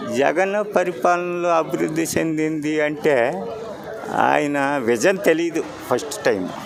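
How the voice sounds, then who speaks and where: Noticeable background noise accompanies a man with a fairly high pitch and lively intonation. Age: old. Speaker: interviewee in street public talk. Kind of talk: street interview answer.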